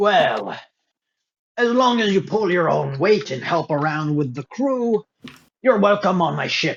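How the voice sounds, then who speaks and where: Putting on a character voice, a man swings his pitch very widely up and down. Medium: actual play. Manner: formal, guarded.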